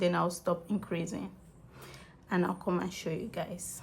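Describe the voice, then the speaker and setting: A woman is speaking. Her voice has vocal fry. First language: not English. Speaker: crochet tutorial creator. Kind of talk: tutorial. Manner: casual, conversational.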